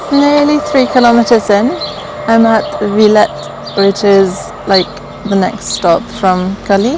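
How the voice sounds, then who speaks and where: A woman's fairly high, relaxed voice at a very slow pace, over noticeable background noise. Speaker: travel vlogger. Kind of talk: casual talk to camera. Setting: outdoors. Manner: relaxed, hesitant with fillers.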